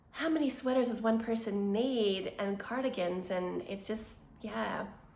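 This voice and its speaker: A woman talks with a fairly high pitch and ordinary pitch variation. Audible room echo surrounds her voice. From Quebec, Montreal. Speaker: knitting podcaster. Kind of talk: casual vlog chat.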